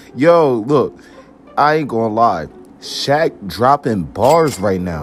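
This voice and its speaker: A man with an American accent speaks at a very slow pace and a medium pitch, with very wide pitch swings. Music plays in the background. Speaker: YouTube reaction creator. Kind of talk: reaction commentary. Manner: animated.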